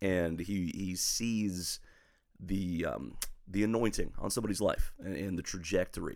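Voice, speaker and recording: At a fairly slow pace, a man talks in a fairly low pitch with a plain, everyday voice. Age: 40s. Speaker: pastor. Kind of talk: casual chat.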